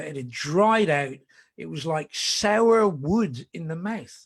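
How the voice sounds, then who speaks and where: A man at a very slow pace, with lively intonation. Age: 60s. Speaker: whisky ambassador. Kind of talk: casual chat. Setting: video call.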